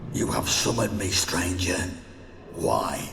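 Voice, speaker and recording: A man puts on a character voice with a very deep, low pitch. Clear background noise and a clear echo surround him. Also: fairly slow pace. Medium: machinima.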